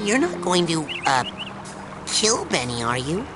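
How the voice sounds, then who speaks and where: A man's high-pitched, put-on character voice at a moderate pace over loud background noise. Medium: game stream. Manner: nervous, stammering.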